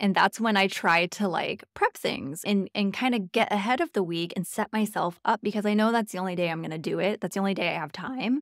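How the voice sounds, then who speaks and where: At a fairly quick pace with hardly any pauses, a woman speaks with ordinary pitch variation, the sound dry with no echo and the background quiet. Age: 30s. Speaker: podcast host, dog trainer. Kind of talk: casual chat. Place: home room. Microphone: studio mic.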